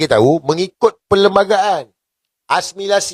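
A man speaks at a moderate pace in an animated tone with ordinary pitch variation. The sound is dry and close, with no echo. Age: 40s. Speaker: political commentator. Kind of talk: political commentary vlog.

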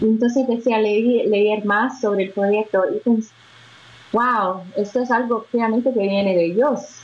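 In a Brazilian accent, a woman speaks at a fairly slow pace with fairly even intonation and very even loudness. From Brazil, Belo Horizonte. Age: 20s. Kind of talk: interview testimony. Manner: halting. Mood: warm, smiling. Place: home room. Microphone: video call.

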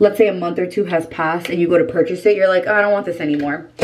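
This woman has a plain, everyday voice. Her pitch sits fairly low, with ordinary pitch variation. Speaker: beauty vlogger. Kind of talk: casual vlog chat. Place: home room. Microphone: camera far.

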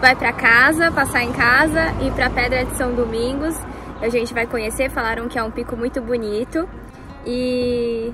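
Clear music sits behind a woman who speaks at a moderate pace in a high pitch with fairly even intonation, the sound dry with no echo. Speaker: travel vlogger. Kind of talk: casual vlog chat. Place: street. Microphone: phone near.

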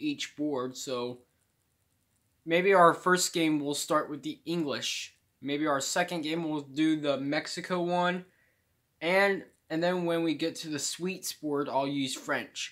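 Against a quiet background, a man talks fairly slowly. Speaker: gamer. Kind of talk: casual gameplay commentary. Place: home room. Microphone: phone near.

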